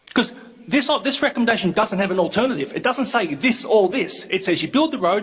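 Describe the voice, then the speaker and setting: Loud and lively in intonation, the speaker talks with an Australian accent. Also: man. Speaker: local councillor. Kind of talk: council debate. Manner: animated.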